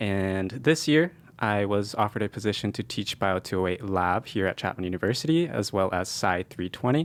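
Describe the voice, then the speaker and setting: On a very clean recording with a silent background, a man with an American accent speaks at a fairly quick pace in a fairly low pitch, with lively intonation and hardly any pauses. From California (San Jose). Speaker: medical school applicant and lab instructor. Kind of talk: podcast interview. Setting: studio.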